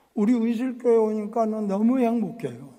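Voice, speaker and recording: Audible room echo surrounds this man's voice. He speaks at a high pitch and a fairly slow pace. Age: 80s+. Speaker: pastor. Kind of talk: sermon.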